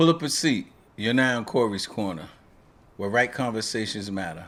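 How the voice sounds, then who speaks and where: Heard in a very clean recording with a silent background, a man with an American accent has a plain, everyday voice at medium pitch, with lively intonation and a moderate pace. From Queens, New York. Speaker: retired police officer and podcast host. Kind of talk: podcast intro.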